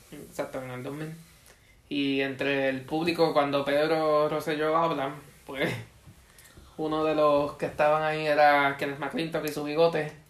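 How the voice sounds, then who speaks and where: Audible room echo surrounds a man with a fairly high pitch and monotone, flat intonation. He talks at a fairly slow pace with long, frequent pauses. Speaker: podcast co-host. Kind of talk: casual chat.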